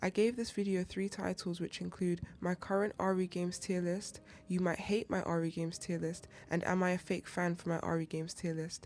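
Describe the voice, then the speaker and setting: A woman's fairly low, monotone, flat voice, with music in the background. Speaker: gaming YouTuber. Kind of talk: gaming tier list commentary.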